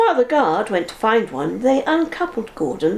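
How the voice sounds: This is a natural reading voice. The words are read aloud as written.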